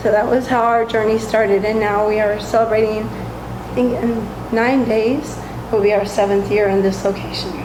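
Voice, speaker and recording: The speech moves at a moderate pace with monotone, flat intonation, and the recording carries audible room echo and noticeable background noise. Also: woman, fairly high pitch for a woman. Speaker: bakery owner. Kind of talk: interview.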